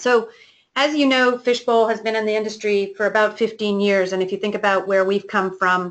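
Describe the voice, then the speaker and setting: Fairly even intonation and a fairly quick pace mark this Canadian-accented speaker, with an ordinary speaking voice. The background is quiet. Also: woman, fairly high pitch for a woman. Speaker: company executive hosting a webinar. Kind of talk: webinar presentation.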